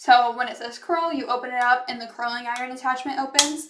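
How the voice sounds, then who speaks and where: Fairly quick, high-pitched speech from a woman. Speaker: product reviewer. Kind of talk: product demo. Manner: fast.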